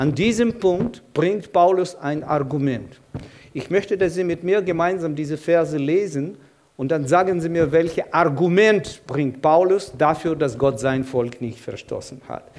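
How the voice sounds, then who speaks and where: Fairly slow delivery from a man, pitched high, its pitch variation ordinary. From Ukraine, Kyiv. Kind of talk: sermon.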